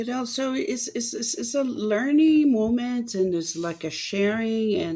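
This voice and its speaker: Her tone is dark and mellow, and her pitch is fairly high. This woman talks at a moderate pace. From Rio de Janeiro, Brazil. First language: Portuguese. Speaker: samba teacher and dancer. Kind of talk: podcast interview answer.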